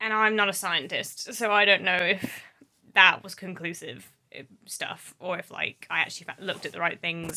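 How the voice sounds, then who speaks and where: A woman with an English accent speaks at a medium pitch in a bright, sharp tone. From England. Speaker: book vlogger. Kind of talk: casual vlog talk.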